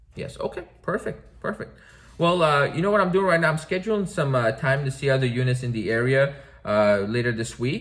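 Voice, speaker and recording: Music plays in the background as the speaker talks at a fairly quick pace with lively intonation. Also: man. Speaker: real estate agent. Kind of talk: phone sales call. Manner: fast.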